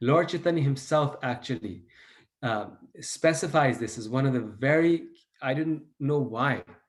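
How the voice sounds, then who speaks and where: A man at a fairly high pitch talks in a normal speaking voice, keeping a fairly slow pace and ordinary pitch variation. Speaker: devotional teacher. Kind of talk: lecture.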